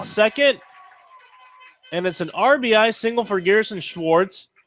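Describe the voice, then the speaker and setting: A man speaks at a moderate pace in a high pitch with very wide pitch swings. The recording is very clean, with a silent background. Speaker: sports broadcaster. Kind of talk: baseball play-by-play call.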